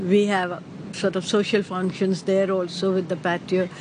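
Noticeable background noise sits behind a woman with a medium pitch. She speaks at a fairly slow pace in a monotone, flat intonation. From Pakistan / India (Karachi, Bombay). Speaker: retired accountant, Parsi community member. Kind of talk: interview, personal recollection.

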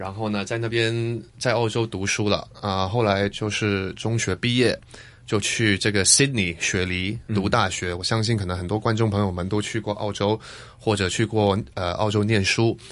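The speaker has a slight Taiwanese accent and talks at a moderate pace in a monotone, flat intonation. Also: man, fairly low pitch for a man. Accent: slight Taiwanese accent in Mandarin. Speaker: actor and DJ. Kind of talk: casual interview chat. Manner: halting, many fillers.

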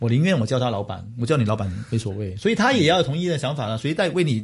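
The very fast, somewhat breathy delivery comes with very wide pitch swings. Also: man. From Hong Kong. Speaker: business executive. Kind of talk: interview.

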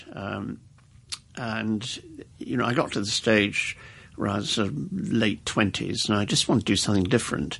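A man with an RP accent, at a moderate pace. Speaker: retired army officer. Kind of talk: interview. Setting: studio.

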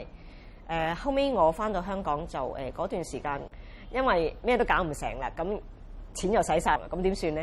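A woman speaks at a moderate pace with vocal fry and a fairly low pitch. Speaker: rubber stamp craft artist and teacher. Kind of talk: interview testimony. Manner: halting with many fillers.

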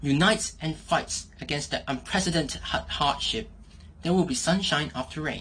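A woman with a very deep, low pitch and vocal fry talks at a fairly quick pace. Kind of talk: judge commentary.

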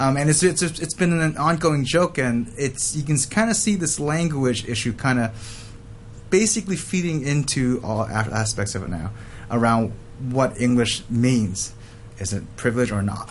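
Here is a man with an American accent and a plain, everyday voice. He keeps a moderate pace and medium pitch, with lively intonation. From Hong Kong and Los Angeles. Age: 30s. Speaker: student counsellor. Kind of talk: casual chat.

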